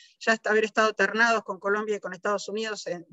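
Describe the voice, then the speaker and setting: A woman is talking. Her voice is fairly high. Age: 60s. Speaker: biologist. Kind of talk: panel talk. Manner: hesitant, many fillers.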